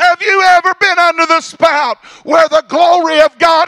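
Against a quiet background, a man with an extremely high pitch uses a raised, projected voice at a fairly slow pace. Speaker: pastor. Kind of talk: sermon. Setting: church service. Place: church. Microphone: handheld.

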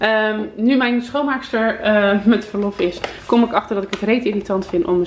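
Noticeable noise sits behind a woman whose voice is fairly high. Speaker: vlogger. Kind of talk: casual vlog monologue. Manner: chatty, casual.

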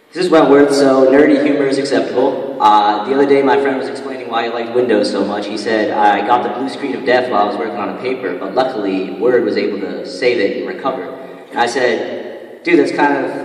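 With audible room echo, a man talks at a very fast pace with hardly any pauses and ordinary pitch variation. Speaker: student comedian. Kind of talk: stand-up comedy routine. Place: hall. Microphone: handheld.

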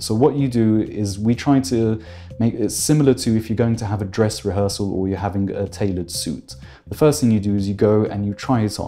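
Over faint background music, a man with a fairly low pitch talks at a fairly quick pace with ordinary pitch variation. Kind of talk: interview answer. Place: office.

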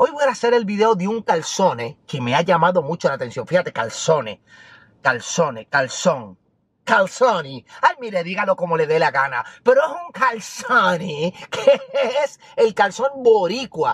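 A man talks at a fairly slow pace. The sound is dry with no echo, over a quiet background. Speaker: food vlogger. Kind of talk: casual vlog chat. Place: car.

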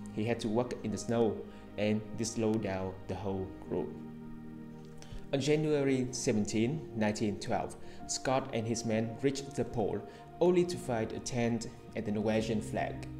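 Over clear music in the background, a man with a Vietnamese accent talks at medium pitch with lively intonation. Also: moderate pace. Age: young. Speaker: English learner. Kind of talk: reading aloud an English article. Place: home room. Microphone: earbuds.

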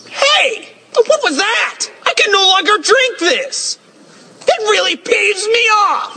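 A man puts on a cartoonish character voice at an extremely high pitch and a fairly slow pace. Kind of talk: comic overacting. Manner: indignant, loud, rambling.

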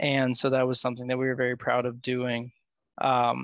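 A man's voice comes through as dry sound with no echo against a quiet background. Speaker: policy analyst. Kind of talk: presentation. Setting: video call. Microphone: video call.

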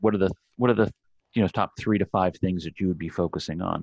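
Against a quiet background, a man with a very deep, low pitch and an American accent speaks with ordinary pitch variation in a dry sound with no echo. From Virginia. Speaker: political writer; panel interviewer. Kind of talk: panel interview. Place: home room. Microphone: video call.

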